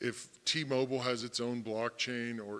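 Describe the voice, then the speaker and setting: A loud man speaks at a moderate pace and medium pitch, his bright, sharp tone carrying fairly even intonation. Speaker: fintech panelist. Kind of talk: panel discussion. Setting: conference stage with audience.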